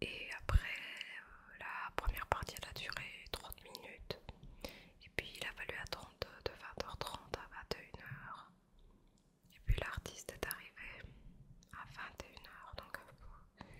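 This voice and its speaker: A whisper at a very slow pace, broken by long, frequent pauses. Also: woman. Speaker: ASMR creator. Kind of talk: ASMR chat while eating pastry. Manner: soft, slow, relaxing. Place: home room. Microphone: studio mic.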